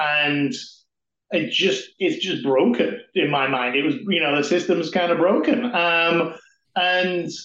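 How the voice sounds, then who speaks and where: Spoken with an English accent at a fairly slow pace, the voice has lively intonation and audible room echo. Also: man. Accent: non-North-American, English. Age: 40s. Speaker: amateur triathlete and team development lead. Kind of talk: podcast interview.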